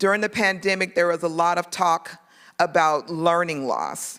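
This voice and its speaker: In a very clean recording with a silent background, a woman with a plain, everyday voice speaks at a moderate pace, her fairly low pitch held in fairly even intonation. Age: 50s. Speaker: political candidate. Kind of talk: campaign speech.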